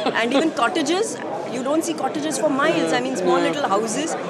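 A woman talking at a very fast pace, with crowd noise in the background. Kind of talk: interview answer. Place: hall. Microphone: lapel.

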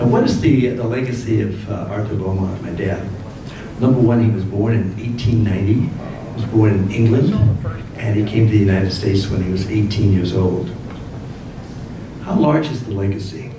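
With audible room echo and noticeable background noise, a man speaks at a fairly low pitch with fairly even intonation. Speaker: guest lecturer. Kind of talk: lecture. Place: hall.

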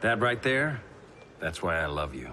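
Using a put-on character voice, a man speaks low in pitch with a bright, sharp tone, big pitch swings and a fairly slow pace.

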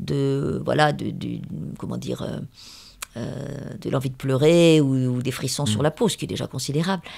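A woman is speaking. Her pace is fairly slow. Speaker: novelist. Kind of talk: interview. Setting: at her home. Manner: hesitant, many fillers.

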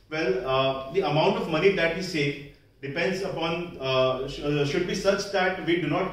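Room echo can be heard clearly around the man who is speaking. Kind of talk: prepared public speech. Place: hall. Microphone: camera far.

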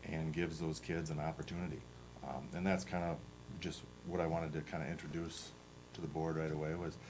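A man's very deep, low voice with vocal fry, fairly even intonation, a very fast pace broken by long, frequent pauses, and audible room echo. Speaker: powerlifting club coach. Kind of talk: presentation to school board. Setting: school board meeting. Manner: halting, many fillers.

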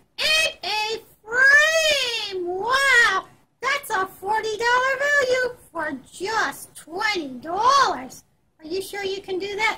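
A put-on character voice is used here. The pace is very slow. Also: woman, extremely high pitch for a woman. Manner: chatty, enthusiastic.

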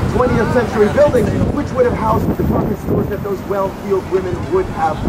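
Amid loud background noise, a man talks at a fairly quick pace. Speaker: tour guide. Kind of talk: tour commentary. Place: bus.

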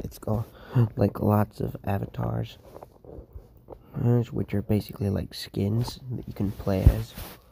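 This quiet voice moves at a very slow pace. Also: man. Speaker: gaming youtuber. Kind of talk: casual vlog talk to viewers. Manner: quiet, hushed; hesitant, many fillers.

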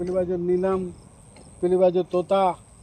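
A man's high-pitched voice, dark and mellow in tone, in monotone, flat intonation. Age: 60s. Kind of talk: interview, casual chat.

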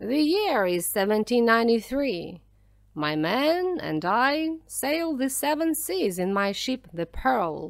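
A woman puts on a character voice, speaking slowly with vocal fry, big pitch swings and a fairly high pitch.

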